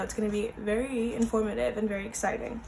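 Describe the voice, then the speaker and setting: Speaking very fast with an American accent, a woman with a fairly high pitch is heard through audible room echo and noticeable background noise. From US. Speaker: vlogger. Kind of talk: casual vlog talk. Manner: casual with many fillers.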